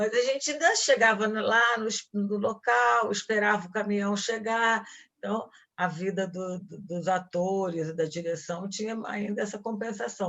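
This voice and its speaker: This woman has an unremarkable speaking voice at a medium pitch, with ordinary pitch variation. She speaks at a fairly slow pace. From Brazil, Rio de Janeiro (Ipanema). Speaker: actress. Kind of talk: lecture. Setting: talk to film students.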